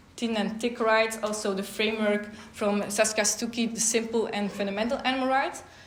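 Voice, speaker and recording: In a room with audible echo, a woman with a non-native accent speaks at a moderate pace, fairly high and flat in a monotone. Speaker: law researcher. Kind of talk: conference talk. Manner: hesitant with fillers.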